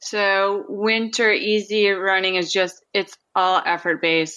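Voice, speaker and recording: A woman speaks with a Minnesota accent. Her intonation is monotone and flat. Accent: Upper Midwest (Minnesota) American. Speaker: amateur marathon runner. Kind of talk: interview conversation.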